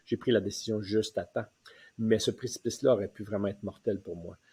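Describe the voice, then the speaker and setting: The man's fairly low voice is somewhat breathy, with a dark, mellow tone. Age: 60s. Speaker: retirement coach. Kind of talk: personal testimony. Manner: hesitant, many fillers.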